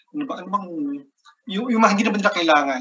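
This man speaks with lively intonation. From Philippines. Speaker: economist, research fellow; webinar presenter, panelist. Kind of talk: webinar presentation. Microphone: video call.

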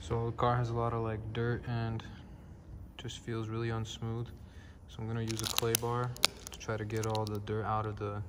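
Loud background noise under a man's moderately paced speech. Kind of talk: casual vlog chat. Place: workshop. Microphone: phone near.

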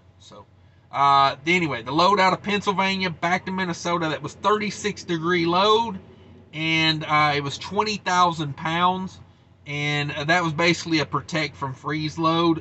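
Speaking at a moderate pace with ordinary pitch variation, a man uses a high pitch, and his loudness swings widely. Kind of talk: casual vlog chat. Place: car. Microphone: webcam.

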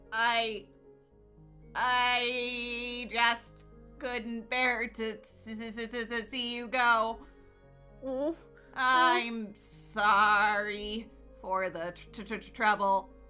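Over faint background music, a woman does a put-on character voice at a fairly high pitch, speaking very slowly with long, frequent pauses. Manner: mechanical, tragic, sorrowful.

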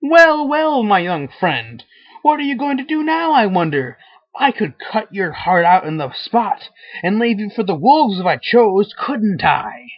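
A man does a put-on character voice, high in pitch, with very wide pitch swings. He keeps a moderate pace. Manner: mocking, taunting, laughing.

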